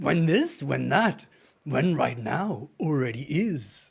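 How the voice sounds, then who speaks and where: This is a put-on character voice, creaky and at a middle pitch. It moves at a very slow pace. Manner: cryptic, wise.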